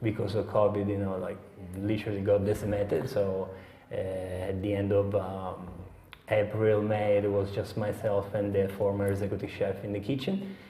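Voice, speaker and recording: Against noticeable background noise, a man with an Italian accent speaks in a flat monotone at a fairly low pitch and a moderate pace. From Sicily, Italy. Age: young. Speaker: head chef. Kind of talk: interview answer.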